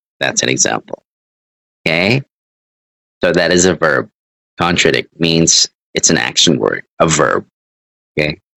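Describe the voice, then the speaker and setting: Fairly slow and marked by long, frequent pauses, a man's very deep, low voice has vocal fry, lively intonation and very even loudness. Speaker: English teacher. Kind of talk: online English lesson.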